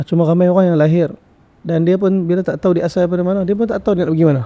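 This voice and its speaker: With a strong northern Malaysian accent, a man talks at a very fast pace in a high, dark and mellow voice with fairly even intonation. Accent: strong northern Malaysian (Kedah). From Sarawak, Malaysia. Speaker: religious teacher. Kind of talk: podcast interview.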